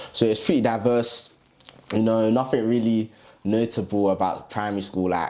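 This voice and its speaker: With a London accent, a man talks at a moderate pace and medium pitch. His intonation stays fairly even, and there is noticeable background noise. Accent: London English, multicultural London. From East London, England. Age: 20s. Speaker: TikTok influencer and medical student. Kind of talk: casual interview. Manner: halting.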